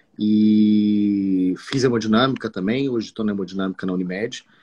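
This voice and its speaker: A man's fairly low voice with ordinary pitch variation, music playing in the background. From Espírito Santo, Brazil (Marataízes). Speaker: cardiologist. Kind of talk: live stream medical conversation. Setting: online live stream.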